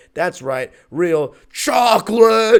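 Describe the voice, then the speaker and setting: Using a put-on character voice, a man speaks in a high pitch. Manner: cartoonish, exaggerated.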